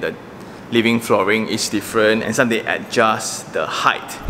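Light background noise sits under a man speaking at a moderate pace. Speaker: property reviewer. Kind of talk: walkthrough commentary. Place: home room. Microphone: phone near.

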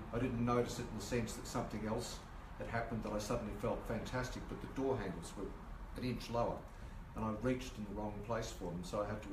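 A man at a very fast pace against noticeable background noise. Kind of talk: informal talk to a group. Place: home room. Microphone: camera far.

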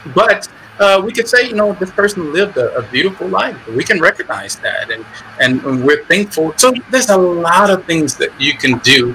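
A man speaks in a raised, projected voice, high-pitched with very wide pitch swings, at a moderate pace over noticeable background noise. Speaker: imam. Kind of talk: panel Q&A. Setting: video call.

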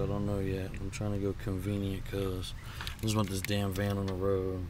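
A man speaks over noticeable background noise. The sound is dry with no echo. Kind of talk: tutorial. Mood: frustrated, casual. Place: open country. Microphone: phone near.

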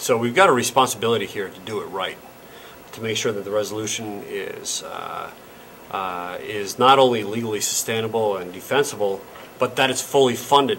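The man's fairly quick speech carries ordinary pitch movement over faint background noise. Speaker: local politician. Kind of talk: interview answer. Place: meeting room.

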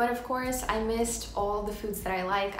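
A woman talks at a fairly quick pace with a fairly high pitch and fairly even intonation. Light background noise and audible room echo are present. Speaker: vlogger. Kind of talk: casual talk to camera. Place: home room. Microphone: phone near.

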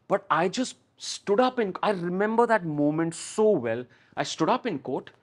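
Lively intonation at a moderate pace, with a quiet background. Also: man, high pitch for a man. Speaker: TV and film actor; actor guest. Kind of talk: interview; interview answer. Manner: talkative. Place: studio. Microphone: lapel.

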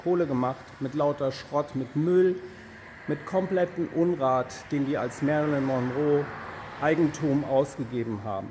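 Light background noise sits behind a man speaking with ordinary pitch variation. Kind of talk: casual vlog chat. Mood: agitated, indignant. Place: street. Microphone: phone near.

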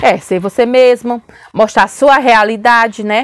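A woman is speaking. The background is quiet, and the sound is dry with no echo. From Brazil. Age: 40s. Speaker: family vlogger. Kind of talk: casual vlog chat. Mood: calm, relaxed. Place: home room. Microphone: lapel.

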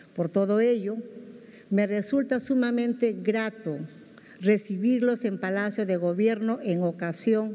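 A woman talks fairly slowly over a quiet background, her pitch varying in an ordinary way. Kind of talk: formal ceremonial speech. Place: hall. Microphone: podium.

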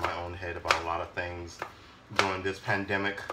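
Loud background noise surrounds a man as he talks. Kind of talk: casual cooking vlog chat. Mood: wry, a bit weary. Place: kitchen. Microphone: phone near.

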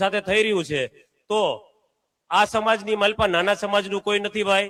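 Monotone, flat intonation marks this man's high-pitched voice. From Gujarat, Saurashtra (Bhavnagar district village). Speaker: villager making a complaint. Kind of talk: public statement to press and gathering.

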